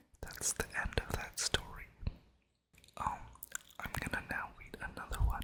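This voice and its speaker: Someone whispers at a very slow pace. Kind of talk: scary story reading. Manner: casual, chatty intro to camera.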